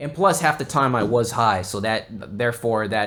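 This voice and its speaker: In a Texan accent, a man talks at a moderate pace with ordinary pitch variation. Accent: Texan American English. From South Texas (Corpus Christi). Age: 20s. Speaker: podcast host. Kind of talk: casual chat. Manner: halting, many fillers and restarts.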